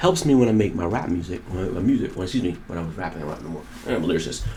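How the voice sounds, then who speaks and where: Audible room echo surrounds the voice. A man speaks at a very deep, low pitch. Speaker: podcast host and rapper. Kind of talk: casual monologue commentary. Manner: fast; animated.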